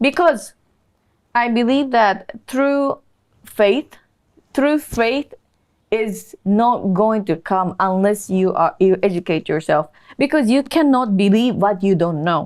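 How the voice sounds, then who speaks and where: A woman with a Japanese accent speaks at a fairly high pitch with lively intonation and very even loudness. Her pace is very slow, broken by long, frequent pauses. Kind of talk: interview about conversion story.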